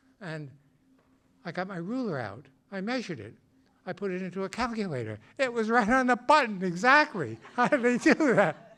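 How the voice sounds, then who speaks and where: Raising and projecting his voice, a man speaks at a moderate pace in a high pitch with a bright, sharp tone, very wide pitch swings and big swings in loudness. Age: 80s+. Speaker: storyteller. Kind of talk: storytelling.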